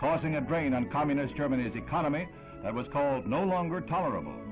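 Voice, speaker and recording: Music plays in the background as a man speaks at a fairly quick pace. His pitch is fairly high and his intonation is lively. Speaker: newsreel narrator. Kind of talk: vintage newsreel narration.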